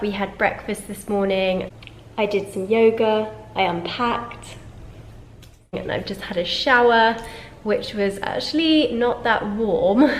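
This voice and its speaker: With a London accent, a woman speaks at a fairly high pitch and a fairly slow pace, using ordinary pitch variation and long, frequent pauses. Noticeable background noise can be heard. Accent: British English (London). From London, England. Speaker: lifestyle vlogger. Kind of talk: casual talk to camera.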